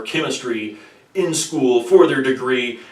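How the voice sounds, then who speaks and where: A man's moderate pace carries through noticeable background noise. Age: 30s. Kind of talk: personal explanatory talk to camera. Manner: articulate.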